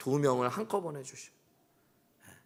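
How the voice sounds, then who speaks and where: A man talks with ordinary pitch variation. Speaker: pastor. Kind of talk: sermon. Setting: church. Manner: animated.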